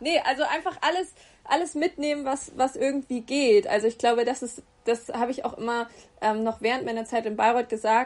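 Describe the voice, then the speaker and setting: The woman speaks at a high pitch. Her pace is fairly quick. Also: ordinary pitch variation. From Hesse, Germany (Gießen). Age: 20s. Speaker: agency consulting team lead and freelance photographer. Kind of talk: interview. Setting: video call. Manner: hesitant, many filler sounds.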